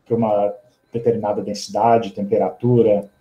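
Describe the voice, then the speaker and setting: A man's voice at a medium pitch sounds dark, mellow and somewhat breathy. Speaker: physicist giving a seminar. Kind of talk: academic seminar talk. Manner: fast.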